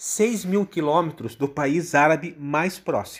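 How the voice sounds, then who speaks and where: In a normal speaking voice, a man talks at a moderate pace with fairly high pitch, on a very clean recording with a silent background. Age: 50s. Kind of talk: explanatory talk.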